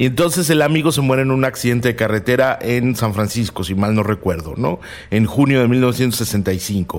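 A man of medium pitch talks with lively intonation, very even loudness and a moderate pace over noticeable background noise. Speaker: co-host on serial killers. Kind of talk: casual expert conversation. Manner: conversational, fillers, repetition.

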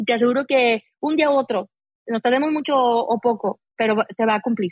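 At a moderate pace, a woman speaks in a high-pitched voice. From Mexico, Aguascalientes. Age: 40s. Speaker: mountaineer. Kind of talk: interview conversation.

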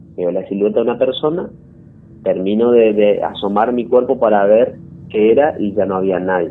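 Speaking at a moderate pace, a man has a fairly low pitch and ordinary pitch variation. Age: 20s. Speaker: story-telling caller. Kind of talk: personal testimony. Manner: halting.

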